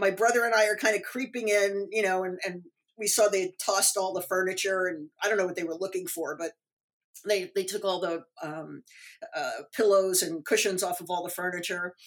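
A woman's plain, everyday voice, medium in pitch, at a moderate pace with fairly even intonation and an American accent. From New York City suburbs. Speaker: author. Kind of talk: interview.

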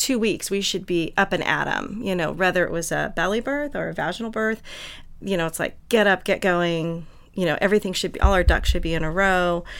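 Recorded very cleanly against a silent background, a woman uses an ordinary speaking voice at medium pitch with ordinary pitch variation. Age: 50s. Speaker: birth and postpartum doula. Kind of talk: casual panel discussion. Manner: chatty, laughs often.

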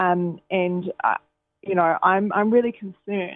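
With music in the background, a woman speaks at fairly low pitch with fairly even intonation. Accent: New Zealand. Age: 20s. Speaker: newspaper reporter. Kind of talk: radio interview.

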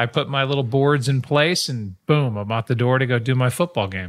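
A man speaks with an unremarkable speaking voice at medium pitch and a fairly quick pace. The recording is very clean with a silent background, and his pitch variation is ordinary. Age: 50s. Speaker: podcast co-host. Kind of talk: casual chat.

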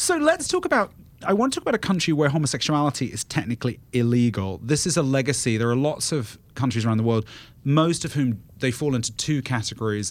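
A man with a British accent talks at a very fast pace and medium pitch, with lively intonation, on a very clean recording with a silent background. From England. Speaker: guest podcast host, travel media editor. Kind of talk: casual panel discussion. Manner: animated.

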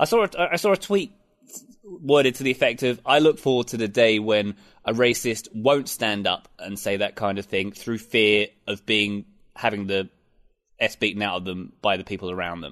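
A man with an English accent speaks at a moderate pace against a quiet background. His pitch is fairly low, with ordinary variation. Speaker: soccer commentator. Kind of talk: casual chat.

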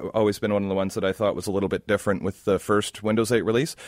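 In a plain, everyday voice, a man speaks with a fairly low pitch and fairly even intonation. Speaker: retail tech expert guest. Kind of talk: radio interview, tech advice. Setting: studio.

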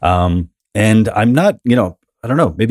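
A man speaks in a New York accent with ordinary pitch variation. The recording is very clean and dry, with a silent background and a close sound with no echo. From New York City, Queens. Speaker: comedian and author. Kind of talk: casual interview chat.

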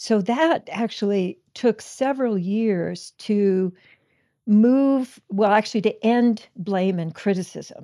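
A woman with a fairly high pitch and a dark, mellow tone, heard on a very clean recording with a silent background. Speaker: psychologist and relationship author. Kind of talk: casual chat. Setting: at home.

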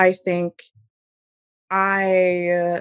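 A woman with an American accent speaks at a medium pitch. The sound is dry and close, with no echo. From US Northeast, Hudson Valley, New York. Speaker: astrologer. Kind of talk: casual chat.

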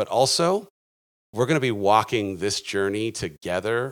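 An unremarkable speaking voice moves at a moderate pace. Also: man. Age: 40s. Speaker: author and life coach. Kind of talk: casual interview. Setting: video call.

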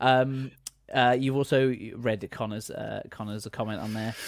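A man has an ordinary speaking voice at a medium pitch. He talks at a fairly slow pace on a very clean recording with a silent background. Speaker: gaming editor and host. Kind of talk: casual chat.

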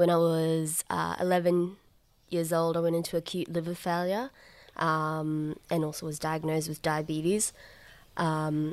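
A woman with an Australian accent speaks at a fairly slow pace in a very deep, low pitch, her intonation monotone and flat, on a very clean recording with a silent background. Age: 20s. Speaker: organ transplant recipient, psychology student and comedian. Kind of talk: interview. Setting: at home, backyard.

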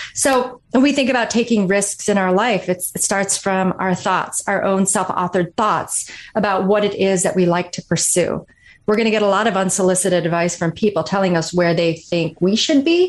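With an American accent, a woman uses a plain, everyday voice at a medium pitch and a moderate pace, with ordinary pitch variation. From northern Michigan. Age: 40s. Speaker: author and former Marine officer. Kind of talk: interview.

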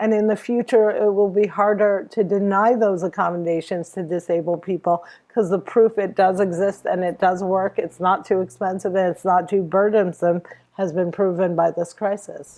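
In a dark, mellow tone, a woman talks at a moderate pace and a medium pitch. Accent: American. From New Jersey, US. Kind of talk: interview. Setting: remote interview from home. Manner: animated.

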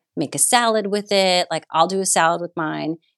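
A woman speaks at a fairly quick pace in an ordinary speaking voice, her pitch fairly low and her intonation fairly even, with a dry, close sound and no echo. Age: 40s. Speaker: art director and set designer. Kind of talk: casual chat.

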